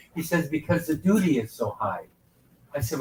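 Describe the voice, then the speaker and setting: A man speaks at a moderate pace with a fairly high pitch. His intonation is lively, and vocal fry runs through it. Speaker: ship director and leadership speaker. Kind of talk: motivational talk. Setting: on board a ship, event venue. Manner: animated.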